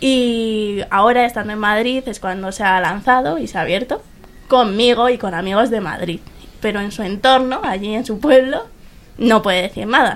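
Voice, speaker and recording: Over noticeable background noise, the speaker keeps a moderate pace with ordinary pitch variation. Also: woman, fairly high pitch for a woman. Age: young. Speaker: university student. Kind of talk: casual chat. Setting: bookshop.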